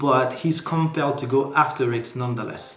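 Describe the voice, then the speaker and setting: With a French accent, a man speaks at a fairly high pitch and moderate pace, with audible room echo and noticeable background noise. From France. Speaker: book reviewer. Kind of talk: book review vlog. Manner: casual, animated.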